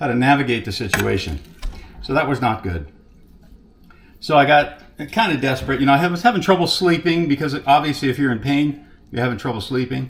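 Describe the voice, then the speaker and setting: Talking at a fairly quick pace with an American accent, a man with a fairly high pitch shows ordinary pitch variation and vocal fry. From Texas. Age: 60s. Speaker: carnivore diet vlogger. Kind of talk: casual personal testimony. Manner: conversational, with hesitations.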